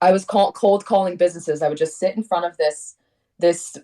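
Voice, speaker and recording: Heard with a dry, close sound and no echo, a woman with a dark, mellow tone speaks at a moderate pace with ordinary pitch variation. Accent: American. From Connecticut, US. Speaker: singer-songwriter. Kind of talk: interview. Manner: animated.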